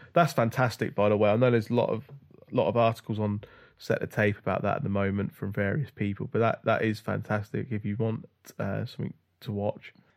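On a very clean recording with a silent background, a man with a British accent talks at a very fast pace in a fairly low pitch with fairly even intonation. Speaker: podcast co-host. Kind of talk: casual chat.

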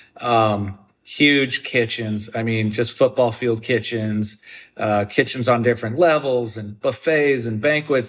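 On a very clean recording with a silent background, a man with an American accent and a normal speaking voice talks at a medium pitch with fairly even intonation. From US Midwest, southern Wisconsin. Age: 40s. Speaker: chef and restaurateur. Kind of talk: interview.

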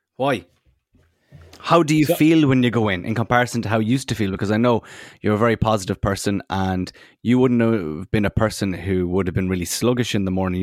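A man with an Irish accent talks at a fairly quick pace in a fairly low pitch, with ordinary pitch variation. The recording is very clean, with a silent background and a dry, close sound with no echo. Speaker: co-host. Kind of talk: casual chat.

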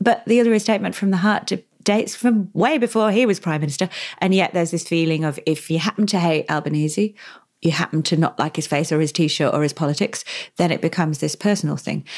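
Here a woman with a British accent talks at a very fast pace and a fairly low pitch. The recording is very clean, with a silent background. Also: ordinary pitch variation. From England. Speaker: podcast host. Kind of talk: interview.

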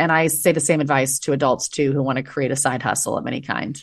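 A woman with an American accent. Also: quiet background. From United States. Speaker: former teacher and entrepreneur. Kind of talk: casual interview chat.

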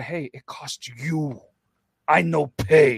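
Putting on a gruff character voice, a man talks with lively intonation at a fairly high pitch, the sound dry and close with no echo. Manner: angry, gruff.

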